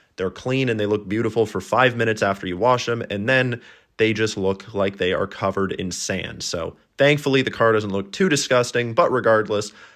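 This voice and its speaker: At a fairly quick pace, a man in a normal speaking voice keeps a medium pitch with ordinary pitch variation against a quiet background. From Canada. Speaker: travel vlogger. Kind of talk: vlog narration. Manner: casual.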